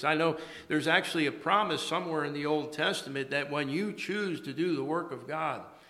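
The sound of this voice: In a rural American accent, a man talks at a moderate pace with a fairly high pitch and ordinary pitch variation. His tone is bright and sharp, and the room echo is audible. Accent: American, rural twang.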